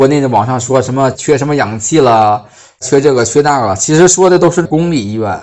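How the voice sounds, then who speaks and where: At a fairly quick pace, a man with an unremarkable speaking voice talks at a medium pitch with ordinary pitch variation. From Hebei, Baoding. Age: 30s. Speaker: new energy industry worker posted abroad. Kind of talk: first-person storytelling.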